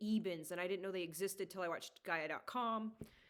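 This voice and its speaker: A woman talks at medium pitch with fairly even intonation. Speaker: geologist and spiritual channeler. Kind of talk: casual monologue vlog. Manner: loud; halting. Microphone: usually too quiet in recordings.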